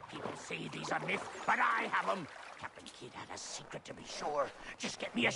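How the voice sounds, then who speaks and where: Over clear background noise, a man puts on a character voice pitched fairly high and speaks at a moderate pace. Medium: machinima. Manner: excited, yarn-spinning.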